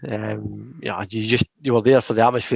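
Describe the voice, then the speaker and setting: A man with a strong Scottish accent, in a dry, close sound with no echo. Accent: thick Scottish. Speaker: football podcast co-host. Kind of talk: casual chat. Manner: animated.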